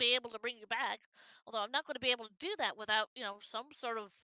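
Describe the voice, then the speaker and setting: Putting on a character voice, a woman talks at a very fast pace with fairly high pitch. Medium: actual play. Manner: hesitant, stammering.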